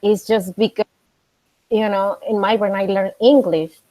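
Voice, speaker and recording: A woman speaks with a Spanish accent at a medium pitch. Her tone is dark and mellow. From Mexico. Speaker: coffee professional. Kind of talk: casual chat. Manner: halting.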